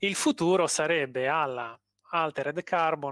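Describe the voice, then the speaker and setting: In a dry sound with no echo and a quiet background, a man with a fairly high pitch speaks at a fairly slow pace with ordinary pitch variation. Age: 40s. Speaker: engineering researcher and lecturer; lecturer. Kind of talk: interview. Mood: friendly, enthusiastic. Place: home room.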